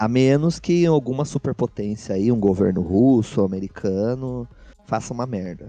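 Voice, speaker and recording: Here a man talks at a moderate pace with a medium pitch. His tone is dark and mellow, and his intonation lively. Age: 20s. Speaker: student podcast co-host. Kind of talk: casual chat.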